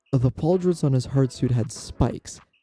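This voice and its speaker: Over music in the background, a voice moves at a fairly quick pace with ordinary pitch variation. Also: man. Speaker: narrator of tabletop game stories. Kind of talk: read story narration.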